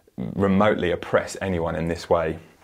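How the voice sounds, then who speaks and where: A man with a plain, everyday voice speaks at a fairly low pitch and a moderate pace. The recording is very clean, with a silent background. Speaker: preacher. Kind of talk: sermon with scripture reading; steady, measured bible reading aloud, narrating the story plainly. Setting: church with congregation. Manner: earnest, warm, conversational.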